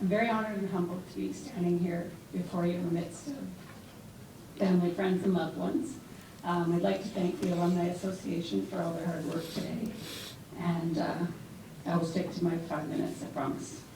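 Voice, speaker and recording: The speaker, with a Canadian accent, talks at a fairly quick pace but leaves long, frequent pauses. Pitch variation is ordinary, and background noise is noticeable. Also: woman, fairly low pitch for a woman. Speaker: former university athlete. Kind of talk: award acceptance speech. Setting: live event before a large crowd.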